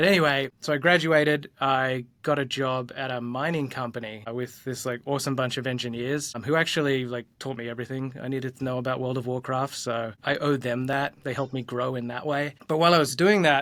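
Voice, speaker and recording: Noticeable background noise accompanies a man with an Australian accent and a medium pitch. He speaks at a fairly quick pace with hardly any pauses and fairly even intonation. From Australia, Gold Coast. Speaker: design leader, former tenor singer. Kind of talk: interview, casual chat. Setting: soundproof conference room, remote interview. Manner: casual, many fillers.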